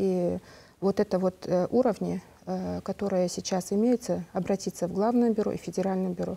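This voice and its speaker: A woman speaks at a moderate pace with fairly even intonation and a dark, mellow tone. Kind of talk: live TV call-in Q&A. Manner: halting. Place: studio. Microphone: lapel.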